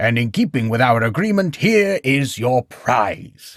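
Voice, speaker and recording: A man growls in a put-on character voice at medium pitch and a fairly slow pace. His pitch swings very widely while loudness stays very even, with a dry, close sound and no echo. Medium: read story. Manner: hearty, expansive.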